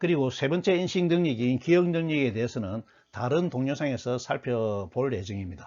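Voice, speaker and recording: Very wide pitch swings mark this man's speech, which has a medium pitch and a moderate pace. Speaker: lecturer. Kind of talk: lecture. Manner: formal.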